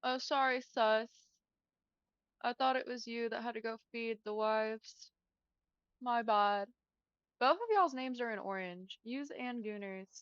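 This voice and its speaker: A woman with an American accent speaks at a fairly slow pace. Her pitch is fairly high, with ordinary variation. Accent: southern US, noted by out-of-state customers. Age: 20s. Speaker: gaming streamer. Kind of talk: casual chat. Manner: casual, filler-heavy speech.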